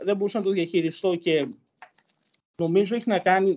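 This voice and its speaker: With ordinary pitch variation, a man delivers his words in a high-pitched voice. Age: 20s. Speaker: university student. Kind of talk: personal testimony interview.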